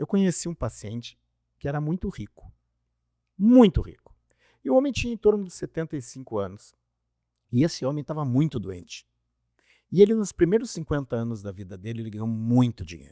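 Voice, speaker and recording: A man with a dark, mellow tone and fairly high pitch talks fairly quickly, with very wide pitch swings, big swings in loudness, and long, frequent pauses. The sound is dry and close with no echo, on a very clean recording with a silent background. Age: 60s. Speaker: doctor. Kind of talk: casual chat.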